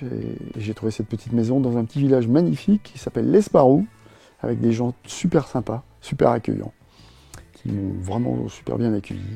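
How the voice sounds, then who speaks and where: Medium-pitched male voice with music in the background. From Brittany, France. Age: 60s. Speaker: retired scooter traveler. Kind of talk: interview. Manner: hesitant, many fillers.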